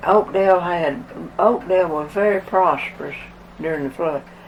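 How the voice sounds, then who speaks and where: Spoken at a fairly slow pace with an Appalachian accent, over noticeable background noise. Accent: Appalachian Southern. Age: 100s (80s+). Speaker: flood survivor. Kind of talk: oral history interview. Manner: halting.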